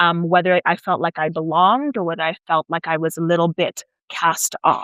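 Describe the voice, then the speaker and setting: A woman's medium-pitched voice, a normal speaking voice, with an American accent at a moderate pace. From South Africa (Nigerian parents, US-born). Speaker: PhD student and researcher. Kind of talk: interview. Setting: away from usual studio.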